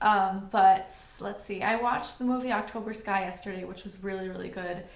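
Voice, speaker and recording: A woman with an American accent at a moderate pace, medium in pitch, with fairly even intonation, noticeable background noise and audible room echo. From New York City. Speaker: beauty vlogger. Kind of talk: casual vlog monologue.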